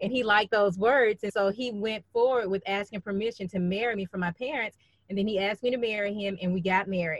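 Speaking very fast with a Southern US accent, a woman at medium pitch keeps a fairly even intonation in a dry, close sound with no echo. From Birmingham, Alabama. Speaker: guest sharing marriage story, author. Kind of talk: testimony.

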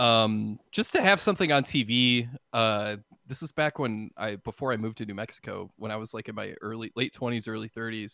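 A man's medium-pitched voice, bright and sharp in tone, with ordinary pitch variation, a fairly quick pace and big swings in loudness, dry and close with no echo on a very clean recording with a silent background. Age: 30s. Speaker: video creator. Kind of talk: casual chat.

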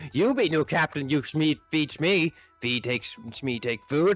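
A man uses a put-on character voice with a fairly high pitch, speaking at a moderate pace. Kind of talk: broken speech, third person.

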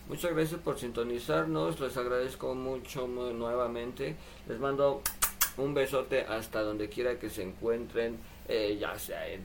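Over noticeable background noise and audible room echo, a man with a Mexican accent speaks at a fairly slow pace. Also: medium pitch for a man, ordinary pitch variation. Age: 20s. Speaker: livestreamer and sign language student. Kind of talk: casual livestream chat. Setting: live stream at home computer.

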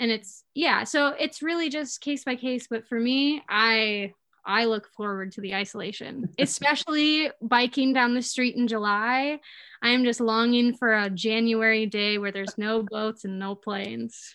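With an Upper Peninsula Michigan accent, a woman speaks at a moderate pace and fairly high pitch, with ordinary pitch variation against a quiet background. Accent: Upper Peninsula Michigan (Yooper). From Upper Peninsula of Michigan, Escanaba. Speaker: social media creator. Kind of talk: casual chat.

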